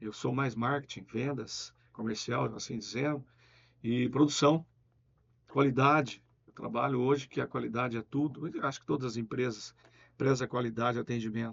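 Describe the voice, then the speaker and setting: A man's medium-pitched voice with vocal fry, a moderate pace and fairly even intonation. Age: 60s. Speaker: business owner. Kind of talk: interview.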